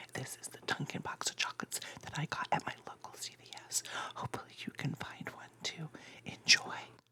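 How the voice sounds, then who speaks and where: A whisper delivered at a fairly quick pace. Noticeable noise sits in the background. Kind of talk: ASMR food review. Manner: whispered.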